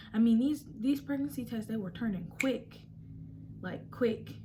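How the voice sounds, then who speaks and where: The woman's voice is somewhat breathy. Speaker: vlogger. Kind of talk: casual story time. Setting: at home, quiet room. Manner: soft, near whisper; hesitant, many fillers.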